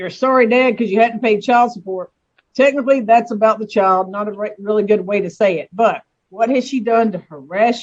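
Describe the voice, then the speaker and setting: In an American accent, the words come at a fairly quick pace. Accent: Southern US accent, noticeable to others. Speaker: judge. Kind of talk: court hearing. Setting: video call. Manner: firm, authoritative.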